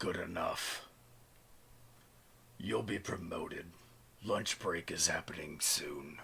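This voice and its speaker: A man puts on a raspy character voice. He talks at a fairly slow pace with long, frequent pauses. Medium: actual play. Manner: cold, clipped, emotionless.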